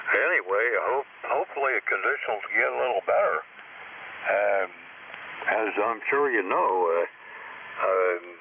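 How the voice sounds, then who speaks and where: Over noticeable background noise, a man speaks at a fairly slow pace with very even loudness and long, frequent pauses. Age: 80s+. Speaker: ham radio operator. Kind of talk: casual chat. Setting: amateur radio contact. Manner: halting, many fillers.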